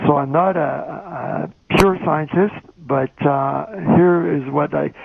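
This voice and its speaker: A fairly high-pitched man at a very slow pace, with noticeable background noise. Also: ordinary pitch variation. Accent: Quebec. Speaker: journalist and magazine editor. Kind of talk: conference talk. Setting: phone call. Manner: soft-spoken; hesitant. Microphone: phone line played on stage, too quiet.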